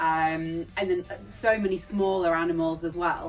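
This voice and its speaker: Over music in the background, a woman talks at a fairly low pitch. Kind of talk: casual talk to camera.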